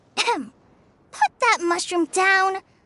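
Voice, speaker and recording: Putting on a squeaky character voice at an extremely high pitch, a woman sounds warm and nervous, her pitch varying in an ordinary way, the sound dry and close with no echo. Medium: video game. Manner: warm, slightly nervous.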